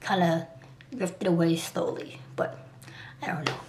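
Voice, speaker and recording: Over noticeable background noise, a woman with an American accent talks fairly quickly at a medium pitch. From Liberia, came to US at age two. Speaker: artist and vlogger. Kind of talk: personal vlog. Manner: fast; halting.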